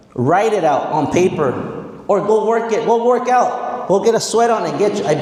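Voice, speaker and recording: Over noticeable background noise and audible room echo, a man talks in an animated tone at a fairly slow pace. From Mexicali, Mexico and central coast California. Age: 40s. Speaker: motivational speaker, educator. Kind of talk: motivational speech.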